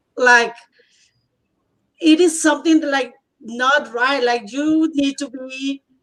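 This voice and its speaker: A woman with a Spanish accent speaks at a very slow pace and a high pitch, her intonation fairly even and her pauses long and frequent. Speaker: bilingual teacher. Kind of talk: casual conversation, personal testimony. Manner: halting.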